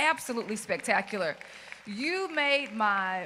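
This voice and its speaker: A woman with a Mississippi accent, fairly high-pitched and animated in tone, with lively intonation at a fairly slow pace, against noticeable background noise. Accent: Mississippi Southern US. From US South, rural Mississippi. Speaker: keynote speaker, school principal. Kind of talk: keynote speech. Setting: stage with audience. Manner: loud.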